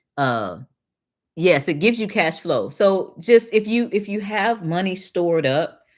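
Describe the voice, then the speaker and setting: Speaking at a fairly slow pace with an American accent, a woman uses lively intonation at medium pitch. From Detroit, Michigan. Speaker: financial educator and livestream host. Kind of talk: live stream chat reading and Q&A. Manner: casual, halting with repetitions.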